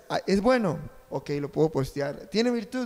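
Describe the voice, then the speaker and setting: The man's intonation is lively while his pace stays fairly slow. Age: 30s. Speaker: journalism student and co-host. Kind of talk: casual chat.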